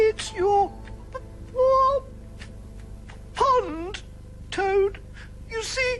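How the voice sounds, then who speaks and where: An extremely high, timid, cartoonish character voice at a very slow pace, with long, frequent pauses and clear background noise. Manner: timid, hesitant.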